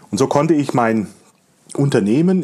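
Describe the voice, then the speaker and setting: A man talks at a fairly slow pace in a medium pitch. His intonation is lively. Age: 40s. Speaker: podcast host and digital agency owner. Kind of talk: solo podcast monologue.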